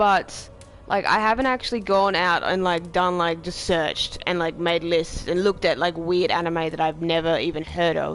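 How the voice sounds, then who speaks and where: Against background music, the talking proceeds at a moderate pace. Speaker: game streamer. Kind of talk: casual chat. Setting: live stream.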